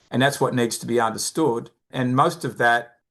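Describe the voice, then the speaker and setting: A man speaks at medium pitch with an Australian accent. His pace is fairly quick, and the background is quiet. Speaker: behavioral finance expert, company founder. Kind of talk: podcast interview.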